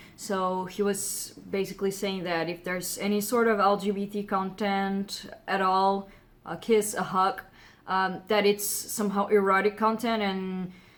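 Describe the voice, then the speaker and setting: The speaker has a Brazilian Portuguese accent and talks at a fairly slow pace. The intonation is monotone and flat. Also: woman, medium pitch for a woman. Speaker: comic book writer and artist. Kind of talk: casual commentary vlog. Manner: hesitant, many fillers.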